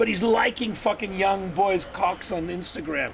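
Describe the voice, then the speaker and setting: A man speaks at a fairly slow pace in an animated tone, high-pitched with ordinary pitch variation. There is noticeable background noise. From South Africa (Cape Town). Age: 70s. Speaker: film director. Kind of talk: casual chat.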